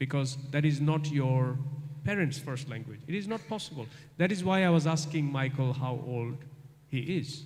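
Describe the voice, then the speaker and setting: There is audible room echo around a man's voice. He sounds somewhat breathy at a fairly high pitch. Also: ordinary pitch variation, moderate pace. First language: non-English. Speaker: guest lecturer. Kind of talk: lecture Q&A.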